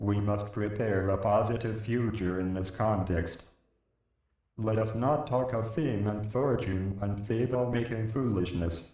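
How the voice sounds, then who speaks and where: A man does a put-on character voice at a medium pitch and moderate pace, with a slight echo around him. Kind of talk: mock commencement oratory. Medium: stage play. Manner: pompous, declamatory.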